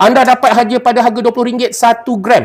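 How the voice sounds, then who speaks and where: The pace of this man's speech is moderate. His voice sits extremely high. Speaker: YouTuber and online seller. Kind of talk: casual live stream talk and product pitch. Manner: casual, hesitant with many fillers.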